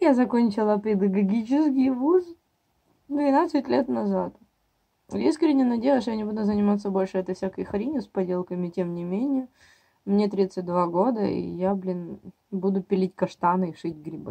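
A woman speaks at a moderate pace, pausing often and at length. The background is quiet. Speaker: mom vlogger. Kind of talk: casual vlog chat. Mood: wry, mildly exasperated. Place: kitchen. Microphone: phone near.

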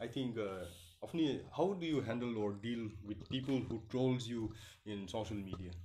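Over light background noise, a man speaks in a dark, mellow tone with ordinary pitch variation. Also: moderate pace. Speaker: interviewer. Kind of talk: live interview. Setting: live video stream with poor network. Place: studio.

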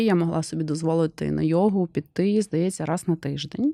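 A woman's dark, mellow tone at a fairly low pitch, with fairly even intonation over a quiet background. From Ukraine, Kherson. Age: 40s. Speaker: business vlogger. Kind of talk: personal monologue vlog. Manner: conversational.

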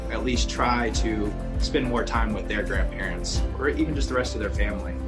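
Clear music plays behind a man talking at a fairly quick pace. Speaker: grandson. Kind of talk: interview answer. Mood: warm, reflective. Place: home room.

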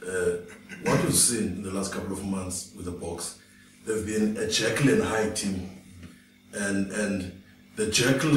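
The clip has light background noise and an audible room echo. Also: man. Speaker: panelist. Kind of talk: panel discussion commentary. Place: studio.

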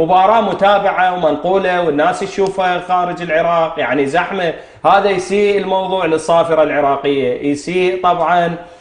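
A man with a high voice talks at a moderate pace with fairly even intonation, very even loudness and hardly any pauses, and there's audible room echo. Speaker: TV show host. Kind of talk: talk show commentary. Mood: indignant about a referee decision. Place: studio. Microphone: lapel.

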